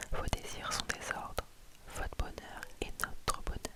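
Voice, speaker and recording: A woman whispers over noticeable background noise. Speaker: ASMR creator reading book recommendations. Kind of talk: whispered book review / reading. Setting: ASMR with tapping sounds, headphones. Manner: close whisper, soft-spoken.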